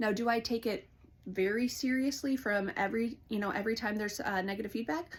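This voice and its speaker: Fairly quick and somewhat breathy, a woman speaks in a fairly high voice with ordinary pitch variation. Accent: American. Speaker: counselor. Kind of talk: vlog monologue. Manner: fast; animated.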